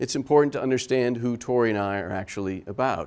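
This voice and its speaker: The very clean recording, with a silent background, captures a man at medium pitch. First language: German. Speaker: architect and professor. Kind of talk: talk to an audience.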